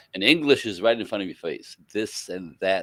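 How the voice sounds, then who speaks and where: A man with a French Canadian accent at a fairly quick pace, in a dry, close sound with no echo. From French Canada. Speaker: relationship educator. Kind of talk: interview.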